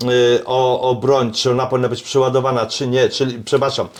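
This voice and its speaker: A man is speaking at moderate speed. His pitch sits in the medium range. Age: 60s. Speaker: self-defence and shooting instructor. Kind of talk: casual chat. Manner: animated; halting.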